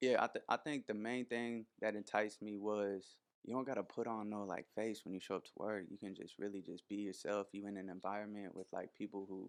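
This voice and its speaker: This man has a normal speaking voice, fairly low in pitch, with an American accent. He talks at a fairly quick pace with fairly even intonation. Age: 20s. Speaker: barber. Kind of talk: interview.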